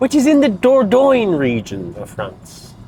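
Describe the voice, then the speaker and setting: This is a man's voice. He speaks with an Irish accent. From Ireland. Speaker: vlogger. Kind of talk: casual vlog chat. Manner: mumbly.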